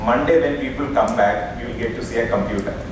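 With an Indian accent, a man speaks at a fairly quick pace with ordinary pitch variation, amid noticeable background noise and strong room echo. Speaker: session chairman and moderator. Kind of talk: conference session chairing. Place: hall. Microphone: podium.

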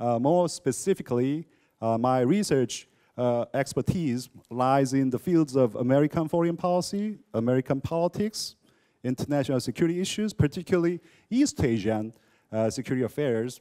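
Against a quiet background, a man's dark, mellow voice carries a fairly high pitch and lively intonation. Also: moderate pace. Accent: Korean. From South Korea, Seoul. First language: Korean. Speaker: professor. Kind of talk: lecture. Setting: lecture hall with audience. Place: classroom. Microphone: handheld.

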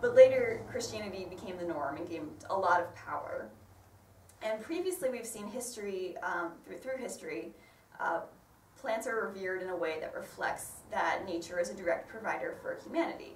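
Speaking at a fairly quick pace in a northern American accent, a woman's voice swings widely in loudness amid audible room echo and light background noise. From northern US. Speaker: botanist and ecologist. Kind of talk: lay sermon talk. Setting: church. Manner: fast talker.

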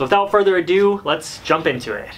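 A man speaks at a fairly quick pace. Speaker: car hobbyist vlogger. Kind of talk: casual vlog chat. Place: garage. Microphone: camera far.

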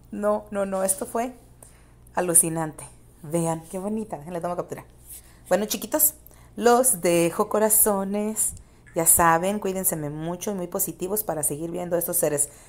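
With a Mexican accent, a woman speaks in an animated tone at a moderate pace and medium pitch, using ordinary pitch variation and long, frequent pauses. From Mexico, San Luis Potosí. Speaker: YouTuber. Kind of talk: video commentary.

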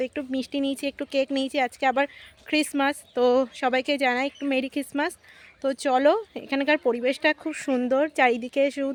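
The speaker is a woman with a high voice and mostly flat intonation. Everything sounds dry and near, without any echo. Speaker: vlogger. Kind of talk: casual vlog narration. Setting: outdoors and train travel.

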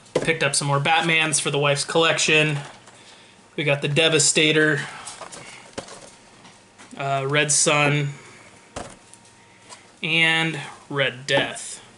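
At a very slow pace, with long, frequent pauses, the speech runs in a monotone, flat intonation over light background noise. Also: man. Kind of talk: casual vlog chat. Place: home room. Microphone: webcam.

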